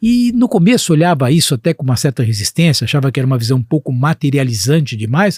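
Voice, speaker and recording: Very fast and somewhat breathy, a man with fairly high pitch speaks with very wide pitch swings and very even loudness, in a dry, close sound with no echo. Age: 60s. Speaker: physician and healthcare executive. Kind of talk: podcast interview.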